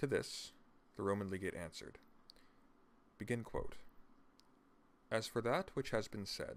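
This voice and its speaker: Soft-spoken and at a moderate pace, a man of medium pitch talks with long, frequent pauses. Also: ordinary pitch variation. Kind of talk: reading of a classic political text.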